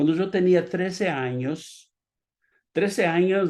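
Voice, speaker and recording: With a Portuguese accent, a man speaks at a very slow pace while his pitch swings very widely. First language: Portuguese (speaking Spanish). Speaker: pastor. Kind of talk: sermon.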